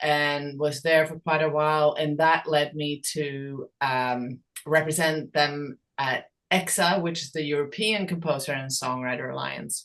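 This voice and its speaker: The woman has a very deep, low pitch. She speaks at a fairly slow pace with ordinary pitch variation. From Sweden. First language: Swedish. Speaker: songwriter and creators' rights advocate. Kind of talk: podcast interview. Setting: podcast. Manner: hesitant, many fillers.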